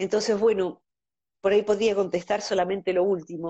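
This is a woman's voice. Its pitch sits in the medium range. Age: 50s. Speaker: psychologist. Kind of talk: casual interview.

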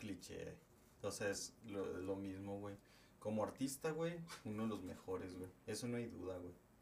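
Speaking at a fairly slow pace, a man with a fairly low pitch and ordinary pitch variation is heard with audible room echo. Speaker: podcast co-host. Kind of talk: casual chat.

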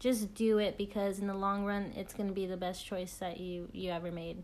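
A woman talks at a moderate pace and medium pitch, her intonation monotone and flat. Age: 20s. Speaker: army officer. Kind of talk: interview. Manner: somewhat scripted, formal.

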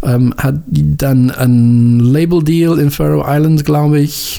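With a non-native accent, a man talks at a medium pitch over noticeable background noise. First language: English (speaking German). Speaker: radio host and music editor. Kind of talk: radio show presenting. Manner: halting, many filler sounds.

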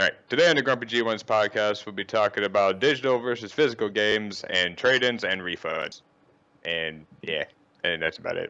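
An ordinary speaking voice, with lively intonation and a fairly quick pace. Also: man, fairly low pitch for a man. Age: 20s. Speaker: gaming podcast co-host. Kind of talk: casual chat.

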